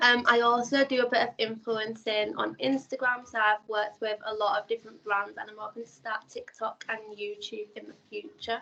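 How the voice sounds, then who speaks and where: A woman in a Yorkshire accent, fairly high in pitch, with a bright, sharp tone, fairly even intonation and a moderate pace. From northern England, Leeds, Yorkshire. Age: 20s. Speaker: beauty pageant contestant and influencer. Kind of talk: interview. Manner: hesitant, many fillers.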